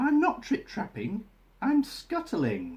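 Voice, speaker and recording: A man puts on a character voice with an extremely high pitch. He talks at a fairly slow pace. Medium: read story.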